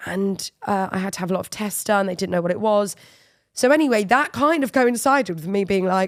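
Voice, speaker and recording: A woman at medium pitch with lively intonation and a fairly quick pace. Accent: English. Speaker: football media presenter. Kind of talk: interview conversation.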